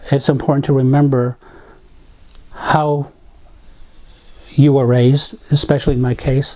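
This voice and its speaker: A man's dark, mellow tone with monotone, flat intonation. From Navajo reservation, US Southwest. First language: Navajo. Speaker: community volunteer. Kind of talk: interview testimony. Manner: reflective, with hesitations.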